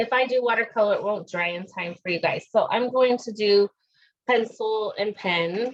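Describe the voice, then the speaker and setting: A woman's fairly slow speech at a medium pitch, with ordinary pitch variation. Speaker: art teacher. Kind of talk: tutorial.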